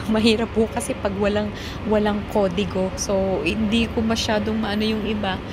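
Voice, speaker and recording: A woman's medium-pitched, flat, monotone voice at a moderate pace, with audible room echo and noticeable background noise. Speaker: OFW vlogger. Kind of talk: casual vlog talk with shout-outs. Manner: louder than usual.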